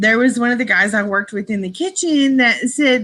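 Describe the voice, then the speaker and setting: Her tone is bright and sharp as this woman talks at a fairly quick clip. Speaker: livestream host. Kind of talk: casual live chat. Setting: livestream. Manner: animated, chatty.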